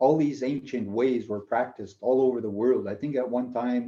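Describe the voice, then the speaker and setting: At a moderate pace, a man speaks at a medium pitch. His tone is dark and mellow. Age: 50s. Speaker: energy healer. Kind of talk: interview testimony.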